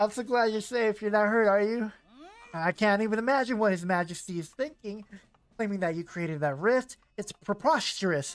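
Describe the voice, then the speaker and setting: This is a put-on character voice with a fairly high pitch. The pace is fairly quick. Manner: gentle, caring.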